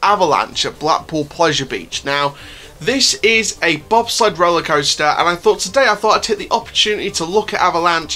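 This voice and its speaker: A man speaks at a fairly quick pace in a raised, projected voice with lively intonation. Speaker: theme park vlogger. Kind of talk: casual vlog chat. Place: home room. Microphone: phone near.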